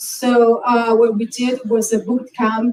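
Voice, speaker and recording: With a non-native accent, a woman speaks at a fairly high pitch in a monotone, flat intonation. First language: Spanish. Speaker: film festival organizer. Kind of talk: panel presentation. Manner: halting.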